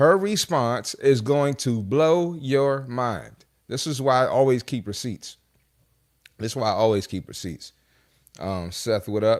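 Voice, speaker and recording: At a fairly slow pace, a man speaks at medium pitch with lively intonation, in a very clean recording with a silent background. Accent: American. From Maryland, Prince George's County (DC area). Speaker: fitness coach and podcast host. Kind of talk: casual reaction commentary. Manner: animated.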